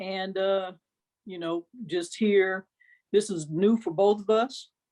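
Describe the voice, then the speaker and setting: Her pitch medium and her intonation fairly even, a woman speaks at a very slow pace. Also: long, frequent pauses, big swings in loudness. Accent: Arkansas. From Milwaukee, Wisconsin, US Midwest. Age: 50s. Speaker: interview guest, carpenter. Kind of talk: casual chat.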